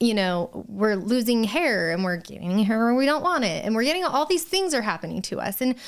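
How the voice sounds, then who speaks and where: Animated and fairly high-pitched, a woman talks at a fairly quick pace with very wide pitch swings. Noticeable background noise sits behind her. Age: 30s. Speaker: permanent cosmetics artist, surgery patient. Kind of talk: casual interview chat.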